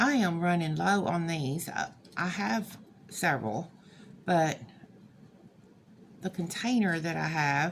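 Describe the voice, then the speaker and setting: A woman with a fairly low voice and vocal fry speaks with lively intonation. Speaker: crafter. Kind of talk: tutorial. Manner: halting, hesitant; casual.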